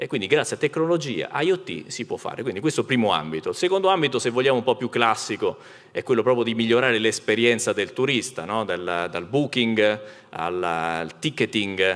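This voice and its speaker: A man's medium-pitched voice at a fairly quick pace, with very wide pitch swings and a quiet background. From Rome; Italy. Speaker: company executive; speaker. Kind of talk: conference panel talk. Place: stage. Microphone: handheld.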